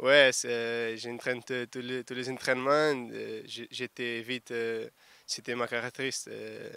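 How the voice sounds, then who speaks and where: A man with a Portuguese accent speaks at a very slow pace and medium pitch, his bright, sharp tone kept monotone and flat in a dry, close sound with no echo. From Portugal. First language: Portuguese (speaking French). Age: 20s. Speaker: rugby winger. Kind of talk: sports interview. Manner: halting.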